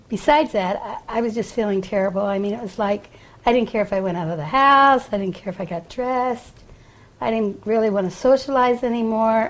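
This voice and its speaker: A woman's fairly high voice, an ordinary speaking voice, with ordinary pitch variation and a fairly quick pace. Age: 60s. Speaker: patient. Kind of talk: testimony.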